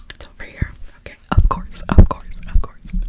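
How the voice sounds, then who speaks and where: A soft-spoken woman whispers. Loud background noise fills the clip. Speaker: makeup roleplay creator. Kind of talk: soft-spoken roleplay chat. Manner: soft close-mic ASMR whisper. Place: home room. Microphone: earbuds.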